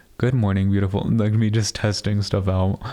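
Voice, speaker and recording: His voice fairly low in pitch, a man speaks with a dark, mellow tone and fairly even intonation. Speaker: solo podcast host. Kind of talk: casual chat. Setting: home studio. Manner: usually loud; quieter than usual. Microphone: new studio mic, watching levels to avoid clipping.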